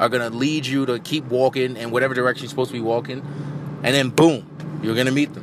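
Over noticeable background noise, a man talks at a fairly quick pace in a fairly high pitch with fairly even intonation. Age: 20s. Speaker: podcast host. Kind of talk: casual chat. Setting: in a car.

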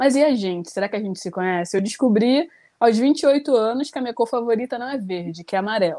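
Very clean recording with a silent background, featuring a woman with a fairly high pitch and a dark, mellow tone. Her intonation is lively and her pace fairly quick. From Rio de Janeiro, Brazil. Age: 20s. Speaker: poet. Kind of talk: panel discussion.

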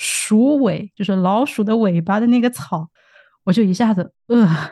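A somewhat breathy woman at a moderate pace, with ordinary pitch variation and a quiet background. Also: dry, close sound with no echo. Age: 30s. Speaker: podcast host. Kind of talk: casual interview.

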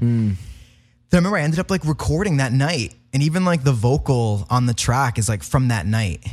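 A man with a somewhat breathy voice speaks at a fairly quick pace in a very clean recording with a silent background. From Rhode Island, Providence. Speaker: singer-songwriter. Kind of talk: casual interview. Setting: studio.

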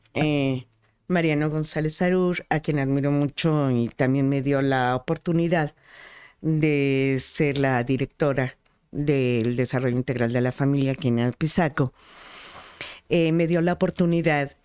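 Delivered at a fairly slow pace with fairly even intonation and very even loudness, the speech comes in a very clean recording with a silent background. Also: woman, very deep, low pitch for a woman. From Mexico, Apizaco, Tlaxcala. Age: 60s. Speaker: school director and educator. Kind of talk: interview conversation. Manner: halting, with frequent fillers.

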